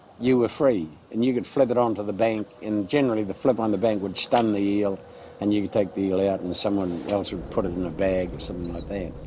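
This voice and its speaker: Speaking very fast with a New Zealand accent, a man with a fairly low pitch and ordinary pitch variation comes through over noticeable background noise. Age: 80s+. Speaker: local elder. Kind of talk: interview recollection.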